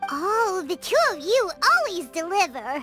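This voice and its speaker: A woman puts on a character voice at an extremely high pitch. She keeps a moderate pace while faint music plays in the background. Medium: video game. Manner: upbeat.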